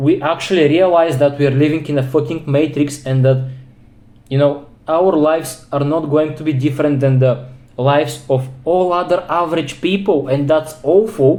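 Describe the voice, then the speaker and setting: A man with a non-native accent speaks in a dark, mellow tone at a fairly high pitch. His pace is moderate and his intonation fairly even. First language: non-English. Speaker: self-improvement vlogger. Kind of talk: personal monologue vlog. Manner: halting.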